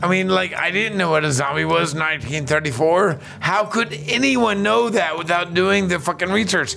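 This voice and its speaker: A man's high voice with hardly any pauses, over noticeable background noise. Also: ordinary pitch variation, moderate pace, very even loudness. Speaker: podcast host and bar owner. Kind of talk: casual chat. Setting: in person at a tiki event.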